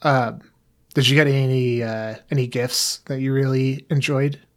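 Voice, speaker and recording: Recorded very cleanly against a silent background, a man speaks at a fairly slow pace in a monotone, flat delivery. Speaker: podcast co-host. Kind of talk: casual chat. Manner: hesitant, many filler words.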